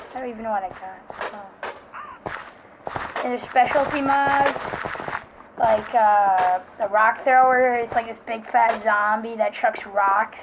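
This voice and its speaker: Speech comes at a fairly slow pace with long, frequent pauses and fairly even intonation. Loudness swings widely over noticeable background noise. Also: woman, fairly high pitch for a woman. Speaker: Minecraft gamer YouTuber. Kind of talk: casual gameplay commentary. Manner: halting, filler-heavy.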